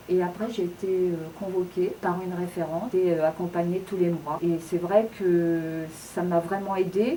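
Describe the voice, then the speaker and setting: A woman with fairly even intonation, noticeable background noise behind her. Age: 60s. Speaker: job seeker. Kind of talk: testimony. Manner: halting, many hesitations and repetitions.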